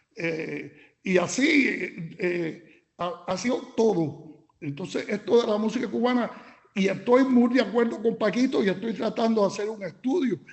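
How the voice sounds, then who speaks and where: Speaking at a fairly slow pace, the man has a high pitch and lively intonation. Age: 70s. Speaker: musician commenting after a lecture. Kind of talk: Q&A comment. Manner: halting.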